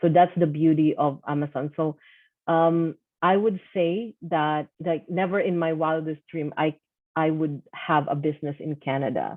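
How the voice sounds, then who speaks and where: A woman with a Filipino accent speaks at a fairly slow pace with fairly even intonation. Her pitch is very deep and low. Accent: Filipino accent, non-native English. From Philippines. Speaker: online seller and course coach. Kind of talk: personal testimony.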